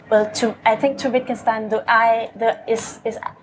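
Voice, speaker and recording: A woman with a fairly high pitch at a fairly slow pace. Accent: non-native. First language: not English. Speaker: poet. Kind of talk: panel discussion. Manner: halting, many repetitions.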